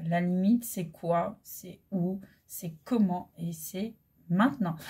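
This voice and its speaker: Somewhat breathy, with a dark, mellow tone, a woman at a medium pitch speaks at a very slow pace with ordinary pitch variation. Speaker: holistic coach and medium. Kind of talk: spiritual guidance talk. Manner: hesitant with many fillers.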